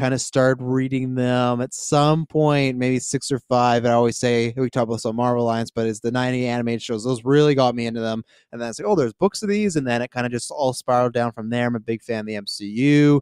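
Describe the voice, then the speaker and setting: A man's medium-pitched voice at a very fast pace, with a Western Canadian accent, fairly even intonation, hardly any pauses, and a dry, close sound with no echo. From Canada, Kelowna, British Columbia. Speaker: podcast guest. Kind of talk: casual chat.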